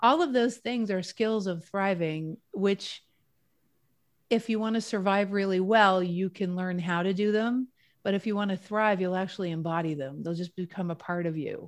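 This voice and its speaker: A woman with medium pitch speaks at a moderate pace in a normal speaking voice, with ordinary pitch variation and a quiet background. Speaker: wellness author and speaker. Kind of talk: casual interview chat.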